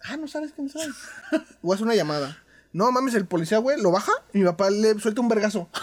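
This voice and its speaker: A man's high-pitched, animated voice with lively intonation, a fairly quick pace and long, frequent pauses. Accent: Mexican. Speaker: podcast co-host. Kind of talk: casual chat.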